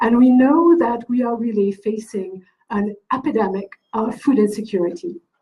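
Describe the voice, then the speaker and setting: The pace is moderate as this woman speaks. Her voice sits fairly high, and its pitch varies in an ordinary way. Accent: French. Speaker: event organizer introducing speaker. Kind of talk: event introduction.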